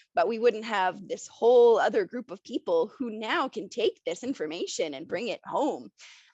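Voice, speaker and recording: With a fairly high pitch and very wide pitch swings, a woman speaks at a moderate pace with hardly any pauses and big swings in loudness, in a dry, close sound with no echo. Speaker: panelist. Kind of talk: panel discussion.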